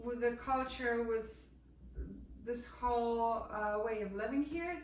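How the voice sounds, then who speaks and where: With a slight Polish accent, a woman speaks very slowly at a fairly high pitch with ordinary pitch variation, amid noticeable background noise and audible room echo. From Poland. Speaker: jazz vocalist. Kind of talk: casual chat. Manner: halting.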